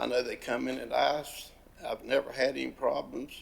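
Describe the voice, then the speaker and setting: With an Appalachian accent, a man talks at a moderate pace. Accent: Southern US, Appalachian North Carolina. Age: 70s. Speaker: dog breeder and hunter giving public comment. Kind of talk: public comment, informal. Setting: county commission meeting. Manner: halting, many fillers and repetitions.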